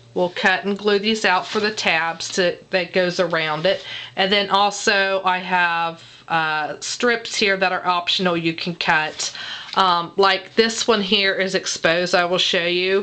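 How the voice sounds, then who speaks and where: Against noticeable background noise, a woman talks at a fairly slow pace and medium pitch with monotone, flat intonation. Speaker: guest crafter. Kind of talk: tutorial. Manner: halting.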